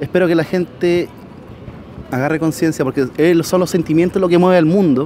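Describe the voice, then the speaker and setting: A man with a Chilean accent, high pitch, fairly even intonation and a fairly quick pace, broken by long, frequent pauses amid noticeable background noise. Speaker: protester. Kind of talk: casual chat.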